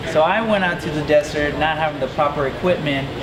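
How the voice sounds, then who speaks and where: A man speaks in a fairly high voice. Noticeable background noise and audible room echo surround him. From Mexico (La Paz), raised from 13 in Las Vegas. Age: 30s. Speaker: pro BMX rider. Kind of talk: interview. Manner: casual, upbeat.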